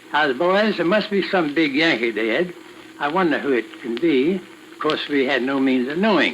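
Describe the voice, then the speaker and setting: At a moderate pace, a man with an American accent speaks in a fairly high pitch with ordinary pitch variation, over noticeable background noise. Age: 80s+. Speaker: Civil War veteran. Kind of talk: recorded oral history reminiscence.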